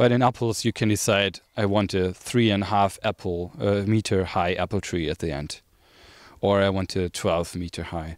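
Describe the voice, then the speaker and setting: A man with a plain, everyday voice speaks at a moderate pace and fairly low pitch with fairly even intonation, the sound dry with no echo over a quiet background. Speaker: food forest workshop teacher. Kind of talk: outdoor workshop lecture. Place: garden. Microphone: handheld.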